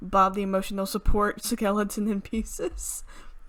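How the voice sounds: Fairly even intonation runs through a natural reading voice.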